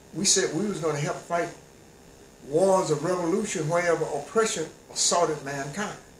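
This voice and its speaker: A man talks at a fairly quick pace in a high pitch with ordinary pitch variation. Noticeable background noise and audible room echo surround him. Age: 80s+. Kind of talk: interview.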